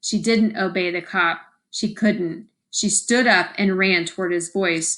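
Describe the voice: The speaker does plain reading aloud, and the background is quiet.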